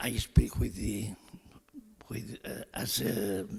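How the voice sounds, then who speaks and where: The man talks very slowly. His speech has a non-native accent. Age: 80s+. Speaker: elderly chess player. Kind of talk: unscripted remarks on stage. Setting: stage with audience. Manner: halting.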